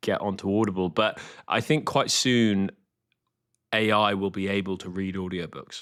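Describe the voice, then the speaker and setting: A man speaks with a slight Scottish accent at a fairly low pitch. The recording is very clean and the background silent. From Scotland. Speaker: author. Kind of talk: casual chat.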